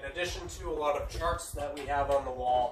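At a moderate pace, a man speaks while noticeable background noise plays behind him. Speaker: military aviator tour guide. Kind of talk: guided tour explanation. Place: office. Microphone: phone near.

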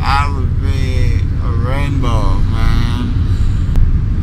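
Over loud background noise, a man drawls at a very slow pace. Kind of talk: casual vlog chat. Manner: dazed, slurred dreamy drawl. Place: car. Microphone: phone near.

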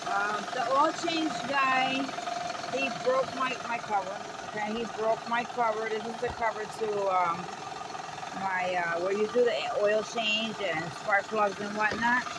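The recording is dry with no echo but has loud background noise. The speech moves at a fairly slow pace. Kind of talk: casual vlog chat. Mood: frustrated, worried. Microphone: phone near.

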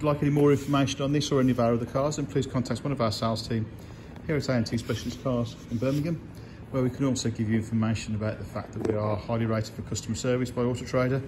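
A man's very fast speech with fairly even intonation over noticeable background noise. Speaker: car salesperson. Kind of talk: sales walkaround commentary. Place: shop. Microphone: phone near.

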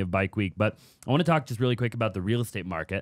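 Words come at a very fast pace. The sound is dry with no echo, against a quiet background. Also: man. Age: 20s. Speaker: podcast host and real estate business owner; podcast host. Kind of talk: casual interview chat. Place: studio. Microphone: studio mic.

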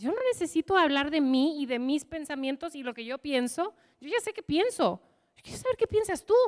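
A woman speaks at a high pitch in an animated tone, with very wide pitch swings and big swings in loudness. The background is quiet. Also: moderate pace. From US, Michigan. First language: English (speaking Spanish). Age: 30s. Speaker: leadership coach; leadership coach speaker. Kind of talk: motivational talk. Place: hall. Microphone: handheld.

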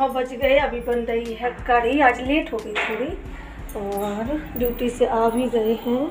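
Clear music plays in the background as a woman speaks at a high pitch with fairly even intonation. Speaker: home vlogger. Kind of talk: casual vlog chat. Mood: cheerful, chatty. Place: kitchen. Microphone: phone near.

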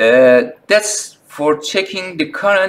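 A man with a non-native accent, a fairly high pitch, very wide pitch swings and a fairly slow pace. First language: not English. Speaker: phone repair technician. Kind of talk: tutorial talk to camera. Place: workshop.

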